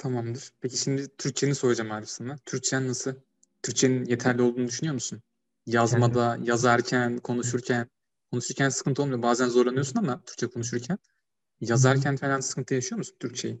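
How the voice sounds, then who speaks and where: A man with a plain, everyday voice and medium pitch talks at a fairly quick pace with fairly even intonation. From Turkey, Ankara (Çubuk). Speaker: podcast host, university student. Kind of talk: casual chat.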